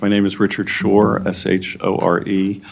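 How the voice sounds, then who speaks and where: Speaking at a fairly slow pace, a man talks with an American accent. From Maryland, US (Silver Spring area). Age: 60s. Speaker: local resident giving public testimony. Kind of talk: public hearing testimony. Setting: public planning board hearing. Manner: halting, many fillers.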